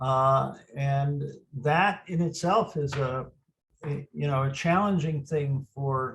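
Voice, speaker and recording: A man talks at a very slow pace in a fairly high voice. His delivery is somewhat breathy. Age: old. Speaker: group convener. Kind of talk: casual group video chat. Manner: halting.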